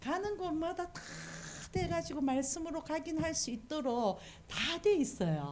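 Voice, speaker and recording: In a Busan accent, a woman talks at a fairly slow pace with a high pitch and lively intonation. Audible room echo surrounds her voice. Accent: Busan dialect (Gyeongsang). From South Korea, Busan. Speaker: missionary preacher. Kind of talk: sermon. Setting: church service.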